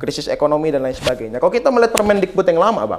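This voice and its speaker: Against a quiet background, a man speaks. His pitch swings very widely. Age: 20s. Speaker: former student union leader; guest. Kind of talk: talk show interview. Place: studio. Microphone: lapel.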